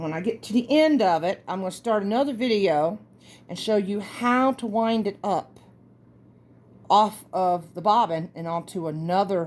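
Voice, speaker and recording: A woman with a Southern US accent, lively intonation and a moderate pace. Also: medium pitch for a woman. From US South. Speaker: craft tutorial host. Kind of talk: tutorial. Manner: casual, chatty.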